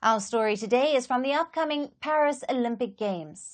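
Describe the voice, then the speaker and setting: Against a quiet background, a woman speaks in a normal speaking voice at a fairly high pitch. Her pace is moderate, with ordinary pitch variation. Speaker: news presenter. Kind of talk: TV news anchor read.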